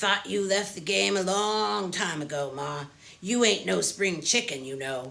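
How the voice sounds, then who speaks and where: In a put-on character voice, gruff and raspy, the speaker talks at a moderate pace from a middle pitch with very wide pitch swings. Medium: read story. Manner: friendly, casual.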